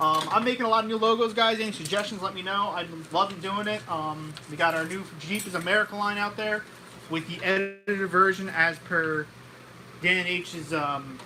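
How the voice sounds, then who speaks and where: A man with a high voice and ordinary pitch variation speaks in a raised, projected way over noticeable background noise. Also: moderate pace. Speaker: car repair channel co-host. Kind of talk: live stream chat. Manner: halting.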